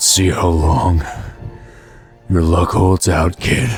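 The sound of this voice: A man does a put-on character voice, growling and raspy, in a very deep, low pitch at a very slow pace with fairly even intonation. Music plays in the background.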